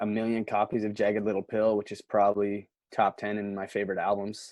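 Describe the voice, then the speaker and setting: A man with a Nova Scotian accent talks at a fairly quick pace in a monotone, flat intonation and a fairly low pitch. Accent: Nova Scotian Canadian English. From Canada, Nova Scotia (Antigonish County). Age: 20s. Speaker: musician. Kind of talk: casual chat. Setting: socially distanced sit-down interview.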